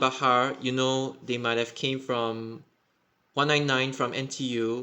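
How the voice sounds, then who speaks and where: A man talks at a fairly slow pace and a medium pitch, with a bright, sharp tone. The background is quiet. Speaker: bus network commentator. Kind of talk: casual explainer talk over map.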